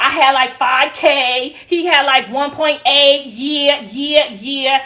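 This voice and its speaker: A woman's raised, projected voice at a high pitch. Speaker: livestreamer. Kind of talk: livestream chat. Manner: animated.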